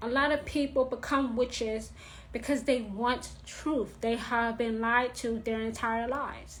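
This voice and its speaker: A woman with a New York accent speaks fairly slowly in a flat monotone at a fairly high pitch. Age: 30s. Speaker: witchcraft teacher. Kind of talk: live stream talk. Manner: blunt, direct.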